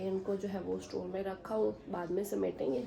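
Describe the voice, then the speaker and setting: A woman speaks over noticeable background noise. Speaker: family vlogger. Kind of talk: casual vlog narration.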